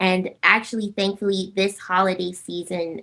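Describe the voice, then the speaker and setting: Speaking at a fairly slow pace, a woman has a medium pitch, a bright, sharp tone and a monotone, flat intonation. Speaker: singer. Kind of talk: interview answer.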